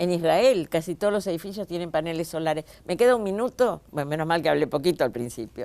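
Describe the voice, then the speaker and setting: Speaking at a very fast pace with hardly any pauses, a woman with a fairly low pitch has a dark, mellow tone and lively intonation. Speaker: TV host. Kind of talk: TV interview. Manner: animated, interrupting.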